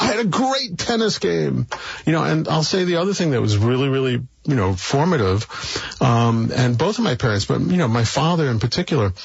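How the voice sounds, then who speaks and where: Speaking with an American accent over noticeable background noise, a man uses a medium pitch with very wide pitch swings at a fairly quick pace. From New York City (Brooklyn). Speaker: philanthropist. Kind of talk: interview conversation.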